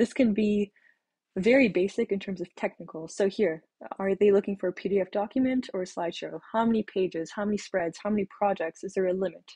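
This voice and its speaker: A woman talks at a fairly quick pace with a medium pitch and a dark, mellow tone. Her intonation stays fairly even against a quiet background. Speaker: graduate school applicant / vlogger. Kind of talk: casual advice monologue. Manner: hesitant, with pauses and fillers. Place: home room. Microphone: webcam.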